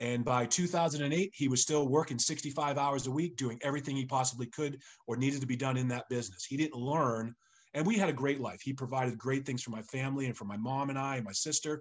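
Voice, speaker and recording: A man with an American accent has an unremarkable speaking voice at fairly high pitch. He talks at a fairly quick pace with ordinary pitch variation. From eastern Massachusetts (Sharon). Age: 50s. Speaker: real estate agent trainer and investor. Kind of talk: casual interview.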